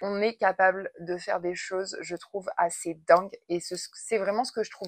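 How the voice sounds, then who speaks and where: The sound is dry and close with no echo. A woman at medium pitch talks at a fairly slow pace. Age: 30s. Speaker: artist and lifestyle vlogger. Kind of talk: casual Q&A vlog. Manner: hesitant, many fillers.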